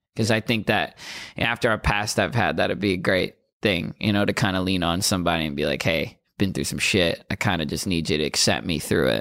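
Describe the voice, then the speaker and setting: On a very clean recording with a silent background, a man with a very deep, low pitch and vocal fry talks at a fairly quick pace with ordinary pitch variation. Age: 20s. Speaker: rapper. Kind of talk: casual interview. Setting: studio.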